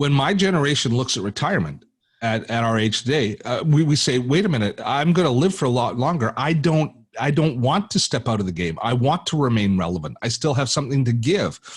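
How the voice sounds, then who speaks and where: Somewhat breathy, a man speaks with very wide pitch swings and very even loudness on a very clean recording with a silent background. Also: medium pitch for a man, fairly quick pace. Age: 60s. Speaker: tech educator and YouTuber. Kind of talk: podcast interview. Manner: halting, many repetitions.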